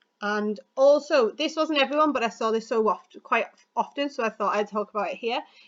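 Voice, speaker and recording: A high female voice at a fairly quick pace. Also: ordinary pitch variation. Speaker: school teacher. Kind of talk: recorded lesson feedback. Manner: fast.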